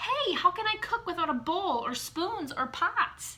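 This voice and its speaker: An extremely high-pitched, put-on character voice from a woman, with very wide pitch swings and a fairly slow pace. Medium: read story. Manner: blunt, outspoken.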